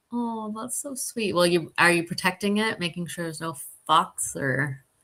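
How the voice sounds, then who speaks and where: A woman with a Southern California accent speaks at a moderate pace, her voice fairly low in pitch with a bright, sharp tone. Her intonation is lively and her loudness swings widely. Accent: LA, Southern California. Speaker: philanthropy consultant. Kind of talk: casual chat.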